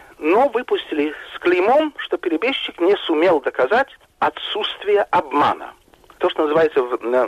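A man at a moderate pace, with noticeable background noise and a dry, close sound with no echo. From Russia, Moscow. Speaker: journalist. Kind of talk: interview.

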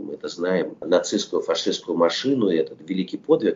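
A man at a moderate pace. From Soviet Union (Russia). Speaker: film director. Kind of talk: interview.

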